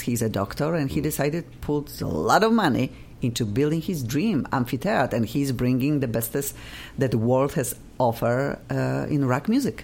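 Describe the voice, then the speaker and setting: The speaker has a Polish accent, with ordinary pitch variation. The pace is moderate and the loudness very even. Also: woman. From Poland. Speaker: radio host. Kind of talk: casual chat. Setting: studio. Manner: animated.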